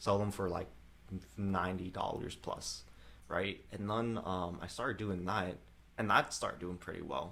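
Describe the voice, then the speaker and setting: A man with a slight Vietnamese accent speaks at a moderate pace in a very deep, low pitch with vocal fry. His tone is bright and sharp, with ordinary pitch variation. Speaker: real estate investor and entrepreneur. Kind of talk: casual chat. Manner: casual, many fillers.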